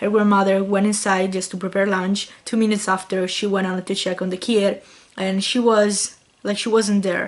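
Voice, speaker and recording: A woman with an Italian accent, flat and monotone, at a moderate pace. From Italy. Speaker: YouTuber. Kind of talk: vlog storytelling. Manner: casual, reading from notes at times.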